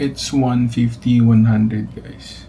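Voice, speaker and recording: Noticeable background noise and audible room echo accompany a man whose intonation stays fairly even. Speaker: vlogger, registered nurse. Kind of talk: casual vlog. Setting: hospital room. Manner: soft-spoken.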